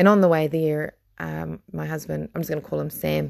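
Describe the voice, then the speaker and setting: With a New Zealand accent, a woman speaks at a fairly quick pace. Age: 30s. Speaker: podcast host. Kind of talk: casual monologue. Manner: halting.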